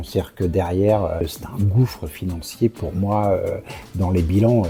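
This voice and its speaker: Noticeable background noise sits behind a man's voice. He speaks fairly slowly at a fairly low pitch. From Normandy, France. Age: 60s. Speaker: real estate professional. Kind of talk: interview. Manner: hesitant, many fillers.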